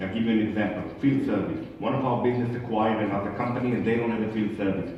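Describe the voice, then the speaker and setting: Over noticeable background noise and audible room echo, a man talks at a very fast pace. His pitch is medium and his intonation fairly even. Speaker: conference speaker, medical device service executive. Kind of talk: conference talk Q&A.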